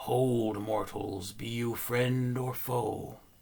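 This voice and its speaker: Put-on character voice from a man, medium in pitch, at a very slow pace. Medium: read story.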